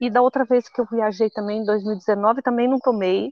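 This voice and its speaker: A woman speaks at a moderate pace. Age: 50s. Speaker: traveler and content creator. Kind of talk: casual interview. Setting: outdoors by a hostel pool.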